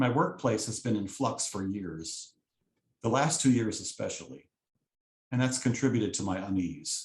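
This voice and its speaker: Lively intonation and a somewhat breathy quality come from a man speaking at a moderate pace. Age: 50s. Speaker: lay speaker, copy editor. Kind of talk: sermon-style talk.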